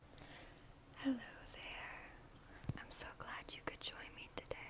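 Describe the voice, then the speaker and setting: Whispering is what this woman does. She goes at a very slow pace. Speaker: ASMR creator. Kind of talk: ASMR whisper video. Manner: whispered, soft-spoken. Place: home room. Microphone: earbuds.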